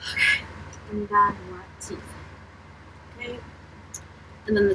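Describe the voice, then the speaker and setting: A woman is speaking. She is soft-spoken. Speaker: beauty vlogger. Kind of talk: casual makeup tutorial chat.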